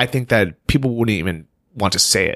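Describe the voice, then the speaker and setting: Ordinary pitch movement and a medium tempo in a plain, everyday voice, its sound dry and close without any echo. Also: man. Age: 30s. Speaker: podcast host. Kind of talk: casual chat.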